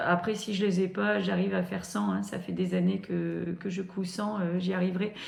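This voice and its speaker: Amid noticeable background noise and audible room echo, a woman speaks. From northern France. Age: 40s. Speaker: sewing youtuber. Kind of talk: casual vlog talk to camera. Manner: hesitant, many fillers and repetitions.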